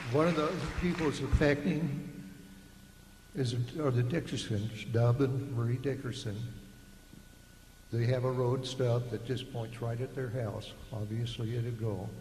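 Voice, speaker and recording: A man with a medium-pitched voice talks at a fairly slow pace with long, frequent pauses and ordinary pitch variation. Noticeable background noise and audible room echo are present. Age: 70s. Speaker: retired engineer, resident speaking at public meeting. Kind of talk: public comment. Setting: public meeting.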